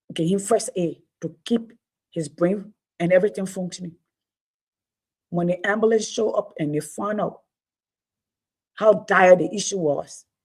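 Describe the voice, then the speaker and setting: Somewhat breathy, a woman speaks at medium pitch and a moderate pace with ordinary pitch variation. She leaves long, frequent pauses. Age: 50s. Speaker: livestream host. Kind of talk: casual livestream talk. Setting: at home, family room.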